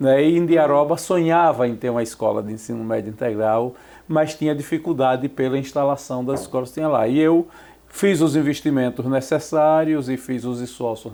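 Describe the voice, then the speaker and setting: A man in a Sergipe accent talks at a moderate pace, his dark, mellow tone set at a fairly high pitch with ordinary pitch variation. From Brazil, Sergipe (Aracaju). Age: 60s. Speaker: journalist and professor. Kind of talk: interview.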